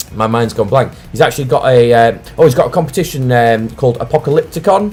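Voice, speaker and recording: Talking at a very fast pace, a man with a Lancashire accent uses lively intonation at a medium pitch. Noticeable background noise can be heard. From Lancashire, northern England. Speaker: wargaming channel host. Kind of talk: casual live stream chat. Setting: live stream.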